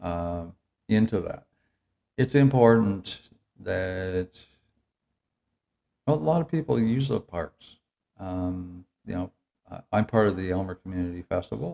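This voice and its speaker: A man with an Ontario accent and a very deep, low, dark, mellow voice, lively intonation, a fairly slow pace, and a dry, close sound with no echo. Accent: Canadian (Ontario). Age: 70s. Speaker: municipal council candidate. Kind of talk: interview. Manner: halting.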